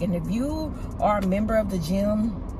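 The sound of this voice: A woman's medium-pitched voice over clear background noise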